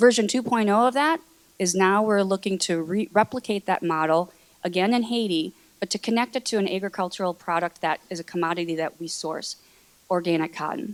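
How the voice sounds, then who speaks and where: A woman at medium pitch and a fairly quick pace, with ordinary pitch variation and a dry, close sound with no echo. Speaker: corporate sustainability manager. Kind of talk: panel presentation. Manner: fast.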